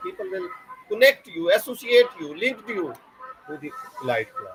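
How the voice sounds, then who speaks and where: Music plays in the background as a man speaks fairly slowly at a high pitch, his pitch swinging very widely. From southern Punjab, Pakistan (Layyah district). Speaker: university lecturer. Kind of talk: podcast interview.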